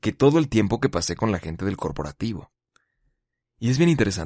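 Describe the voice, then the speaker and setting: Speech comes at a fairly quick pace with lively intonation, in a Mexican accent. The sound is dry and close with no echo, against a quiet background. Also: man. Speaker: podcast host. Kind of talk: solo monologue podcast. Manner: casual, conversational.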